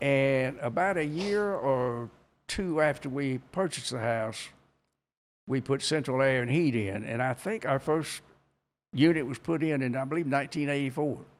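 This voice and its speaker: A man with a North Carolina accent and a fairly high pitch, at a moderate pace with ordinary pitch variation, on a very clean recording with a silent background. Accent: Southern US (North Carolina). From Kannapolis, North Carolina. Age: 80s+. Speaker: retired textile mill worker. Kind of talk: interview answer.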